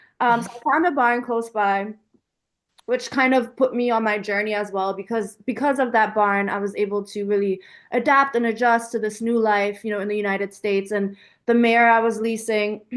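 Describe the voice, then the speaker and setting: With a German accent, a woman speaks at a fairly high pitch and a moderate pace. Her intonation is fairly even, and the background is quiet. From Germany until age 12, then Washington DC / Virginia area. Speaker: equestrian business owner. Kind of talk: interview. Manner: casual, filler-heavy.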